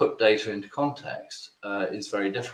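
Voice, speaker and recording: A man speaks at a medium pitch with a British accent. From Britain. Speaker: webinar presenter. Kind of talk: webinar presentation.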